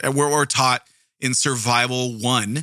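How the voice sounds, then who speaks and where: A man with an American accent speaks at medium pitch in a bright, sharp, animated tone. The sound is dry and close, with no echo. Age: 40s. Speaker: true crime podcast host. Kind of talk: casual storytelling monologue.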